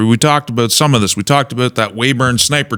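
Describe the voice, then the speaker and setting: A man's voice with a bright, sharp tone. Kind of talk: political commentary monologue to camera.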